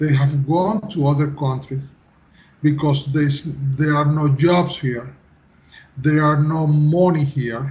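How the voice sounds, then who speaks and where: With long, frequent pauses and a very slow pace, a man speaks in a somewhat breathy, fairly high voice, his loudness very even and his intonation fairly even. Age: 50s. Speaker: civil engineer. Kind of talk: interview. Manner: halting.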